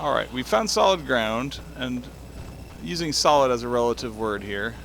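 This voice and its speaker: A quiet man talks at a moderate pace. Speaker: gaming video creator. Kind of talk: let's play commentary.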